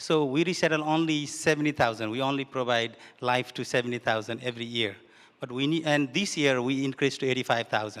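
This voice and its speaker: A man talks very fast at medium pitch, with ordinary pitch variation. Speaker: refugee advocate. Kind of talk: panel discussion. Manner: halting.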